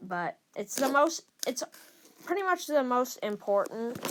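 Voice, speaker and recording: A woman at a very slow pace, with very wide pitch swings. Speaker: gaming video creator. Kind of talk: casual game commentary. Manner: stuttering, hesitant with fillers.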